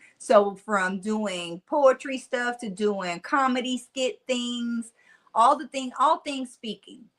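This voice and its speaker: A woman with a Mississippi accent speaks very slowly in a high voice, with ordinary pitch variation and big swings in loudness. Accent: Mississippi country twang. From US South, Nashville, Tennessee. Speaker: motivational speaker. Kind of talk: interview conversation. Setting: podcast. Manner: animated.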